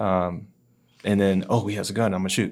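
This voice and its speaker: Ordinary pitch variation in a very clean recording with a silent background. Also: man. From US South. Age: 20s. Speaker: podcast guest, gun store colleague. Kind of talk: casual interview chat. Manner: informal, some filler words.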